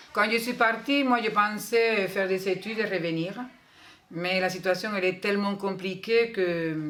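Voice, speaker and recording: A woman's speech comes through audible room echo with noticeable background noise around it. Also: medium pitch for a woman, fairly even intonation, fairly slow pace. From Cuba. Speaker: school staff. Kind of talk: interview.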